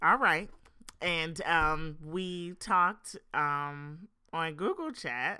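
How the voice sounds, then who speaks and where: Very slowly, a woman speaks at a fairly low pitch with ordinary variation. The recording is very clean, with a silent background. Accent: American. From Philadelphia area, South Jersey. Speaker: podcast co-host, singer-songwriter. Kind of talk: casual chat.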